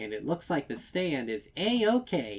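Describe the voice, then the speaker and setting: A man puts on a character voice, pitched fairly high, and swings his pitch very widely. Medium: read story. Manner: chirpy, bright, eager to please.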